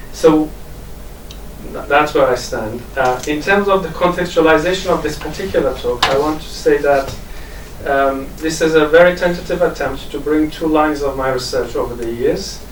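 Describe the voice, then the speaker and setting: A man with an Iranian Kurdish accent and fairly high pitch, fairly even intonation, moderate pace, audible room echo and noticeable background noise. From Kurdish region of Iran. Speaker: academic. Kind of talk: academic conference talk. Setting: conference with audience. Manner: hesitant, many fillers.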